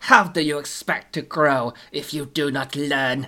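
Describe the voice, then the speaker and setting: Using a put-on character voice, the speaker delivers lines at a fairly slow pace in a low-to-middle pitch. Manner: cold, menacing, lecturing.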